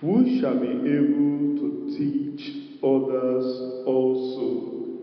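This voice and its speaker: Audible room echo surrounds the man as he talks. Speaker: preacher. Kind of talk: sermon. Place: hall. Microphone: handheld.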